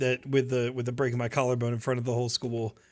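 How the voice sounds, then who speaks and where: In a bright, sharp tone, a man talks at a very fast pace on a very clean recording with a silent background. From New Jersey. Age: 20s. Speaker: streamer. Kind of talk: live stream Q&A, reading chat questions. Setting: live stream. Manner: casual, filler-heavy with false starts.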